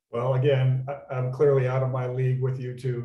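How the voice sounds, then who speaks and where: Here a man with an American accent talks at a moderate pace in a medium pitch. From Minnesota. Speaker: panel moderator. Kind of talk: panel discussion.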